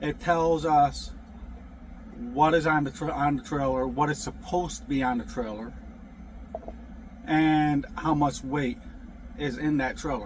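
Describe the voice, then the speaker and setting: A man with an American accent speaks at a fairly slow pace, his voice fairly high-pitched and somewhat breathy. He leaves long, frequent pauses. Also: ordinary pitch variation. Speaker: truck driver vlogger. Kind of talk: casual vlog monologue. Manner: halting, many fillers and restarts.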